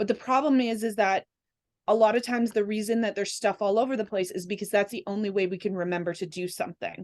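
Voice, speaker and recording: A woman speaks very fast at a medium pitch. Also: ordinary pitch variation. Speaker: holistic energy practitioner and podcast guest. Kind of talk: casual chat.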